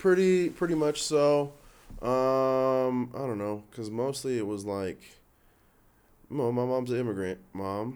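Soft-spoken and very slow, a man talks at a medium pitch with ordinary pitch variation and long, frequent pauses. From born in Los Angeles, raised in Canada. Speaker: stand-up comedian. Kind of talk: casual interview chat. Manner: soft-spoken, chill.

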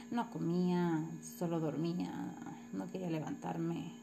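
A woman speaks at a very slow pace with audible room echo. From Mexico, Morelos. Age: 30s. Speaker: physical education teacher. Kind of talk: personal narrative for a course assignment. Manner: halting, with many repetitions and fillers.

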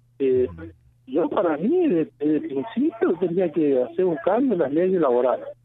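Over noticeable background noise, a man speaks at a moderate pace in a high pitch with lively intonation. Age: 40s. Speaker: citrus farmer. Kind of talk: radio interview.

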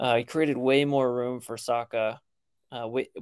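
At a moderate pace, a man talks in an ordinary speaking voice at medium pitch, with a dry, close sound and no echo. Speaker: podcast co-host.

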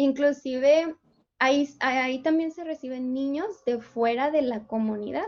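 A woman's high voice, with ordinary pitch variation, moves at a fairly slow pace. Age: 20s. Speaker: missionary. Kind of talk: casual chat.

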